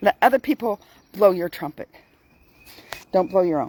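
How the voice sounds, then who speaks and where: A woman with a dark, mellow tone speaks in very wide pitch swings. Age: 60s. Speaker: vlogger giving daily life and faith tips. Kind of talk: casual talk to camera with Bible reflection. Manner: slow; occasionally slurred words.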